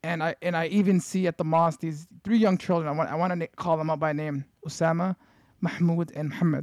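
A man with a high pitch talks at a very fast pace in a monotone, flat intonation, with a dry, close sound with no echo. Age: 20s. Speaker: podcast co-host. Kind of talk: casual chat.

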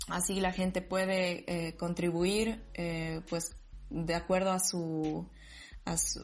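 Fairly low and somewhat breathy, a woman's voice moves at a very slow pace. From Bolivia, Sucre. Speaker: dancer, DJ and psychologist. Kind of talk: casual interview.

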